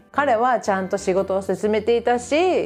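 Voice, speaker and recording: An upbeat woman's voice, fairly high-pitched, fairly slow, with very wide pitch swings over music in the background. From Japan. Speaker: English teacher. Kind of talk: casual talk to camera.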